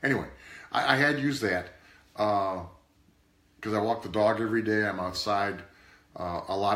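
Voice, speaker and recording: With audible room echo, a man talks at a moderate pace in a fairly low pitch with ordinary pitch variation. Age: 60s. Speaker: product reviewer's father. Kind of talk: casual product review chat. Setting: live video stream. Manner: halting.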